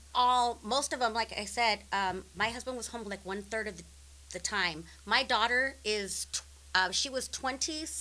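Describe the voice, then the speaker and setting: A woman's fairly high, bright, sharp voice with vocal fry, ordinary pitch variation and a moderate pace. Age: 50s. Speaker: military spouse and comedy promoter. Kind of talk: casual interview.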